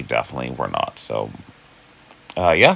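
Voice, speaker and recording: Behind a man's speech there is noticeable background noise. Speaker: figure skating commentator. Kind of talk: casual recap vlog. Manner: hesitant, with fillers.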